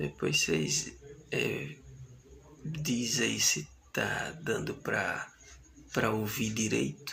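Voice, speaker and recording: Soft-spoken, a man talks at a very slow pace with long, frequent pauses. Audible room echo surrounds his voice. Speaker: bible teacher. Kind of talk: lecture.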